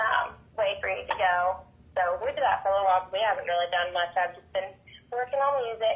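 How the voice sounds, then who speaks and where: A woman with a Southern accent at a very fast pace, medium pitch, big swings in loudness and noticeable background noise. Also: ordinary pitch variation. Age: 20s. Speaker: country pop singer. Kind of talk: interview chat.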